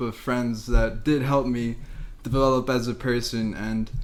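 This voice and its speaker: At a moderate pace, this speaker has an unremarkable speaking voice with an American accent. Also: man. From Las Vegas, Nevada. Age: 20s. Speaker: podcast co-host. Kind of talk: casual chat.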